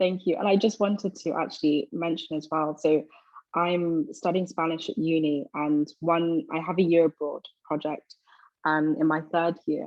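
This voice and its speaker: A woman with a London accent, fairly low in pitch, at a moderate pace with fairly even intonation. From London, England. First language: Twi. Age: 20s. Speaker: university student. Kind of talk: interview.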